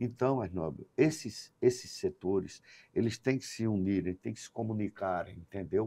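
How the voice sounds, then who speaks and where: Ordinary pitch variation in a dark, mellow tone, delivered at a fairly slow pace. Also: man. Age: 60s. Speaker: businessman. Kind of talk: podcast interview.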